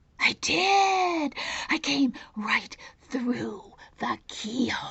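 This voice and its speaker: Using a put-on character voice, a woman speaks high in pitch and very slowly. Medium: read story. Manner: boastful, insistent.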